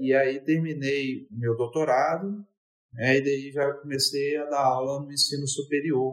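Using a normal speaking voice, a man with a fairly high pitch talks at a fairly slow pace. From Brazil, Espírito Santo (Vila Velha). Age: 50s. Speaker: university professor. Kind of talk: interview.

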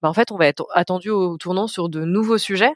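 With a normal speaking voice, a woman talks at a moderate pace and a fairly low pitch, with ordinary pitch variation in a dry, close sound with no echo. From French Alps (Mont Blanc area). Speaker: sustainable finance manager. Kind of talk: podcast interview.

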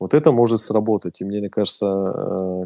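A man with a plain, everyday voice and fairly low pitch speaks at a moderate pace with fairly even intonation, in a dry, close sound with no echo. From Russia. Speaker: DJ and music producer. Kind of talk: casual interview.

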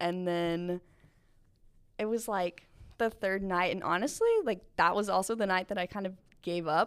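With an American accent and a medium pitch, a woman speaks at a moderate pace with fairly even intonation and long, frequent pauses. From Asheville, North Carolina. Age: 20s. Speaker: intern. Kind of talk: casual chat. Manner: soft-spoken.

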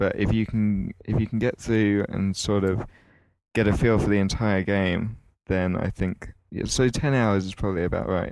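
An unremarkable speaking voice at a moderate pace, with fairly even intonation, in a very clean recording over a silent background. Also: man, fairly low pitch for a man. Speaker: guest, gaming site writer. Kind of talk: casual chat.

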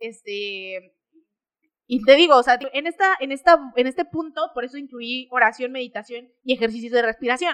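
Woman in a Mexican accent, high-pitched, lively intonation, big swings in loudness, moderate pace, dry and close sound with no echo. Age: 20s. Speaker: fitness podcaster. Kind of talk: casual talk-show monologue.

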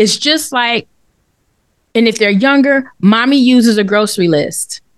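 An unremarkable speaking voice, a woman's, sits fairly high in pitch and moves at a fairly slow pace, with ordinary pitch variation and very even loudness. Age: 50s. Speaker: finance podcast co-host. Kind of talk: casual chat.

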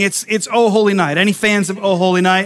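A man speaks at a moderate speed while noticeable noise carries on in the background. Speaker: pastor. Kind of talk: sermon. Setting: church service with congregation. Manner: animated.

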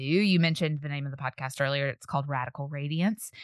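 This voice carries a Southern US accent. Its intonation stays fairly even. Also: woman. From Tennessee. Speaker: podcaster, speaker and author. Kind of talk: casual interview chat.

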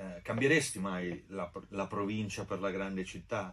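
This is a man with a fairly low pitch and an unremarkable speaking voice. His intonation stays fairly even. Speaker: co-host. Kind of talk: casual chat.

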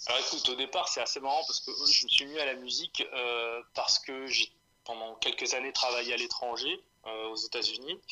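The pace is moderate as a man speaks. Noticeable background noise runs throughout. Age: 30s. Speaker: rapper. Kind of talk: interview.

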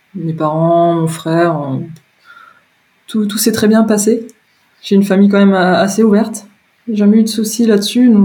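Speaking at a moderate pace with a medium pitch, a woman leaves long, frequent pauses, and room echo is audible. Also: ordinary pitch variation. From France, Moselle (Lorraine). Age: 30s. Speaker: interviewee sharing coming-out story. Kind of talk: personal testimony interview. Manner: hesitant, many fillers and repetitions.

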